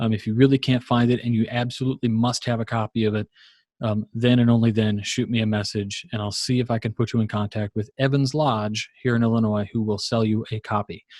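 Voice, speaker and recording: In a very clean recording with a silent background and a dry, close sound with no echo, a man with an American accent speaks fairly quickly in a monotone, flat intonation. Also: medium pitch for a man. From Virginia, US. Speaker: Masonic lecturer and podcaster. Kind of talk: lecture. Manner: fast.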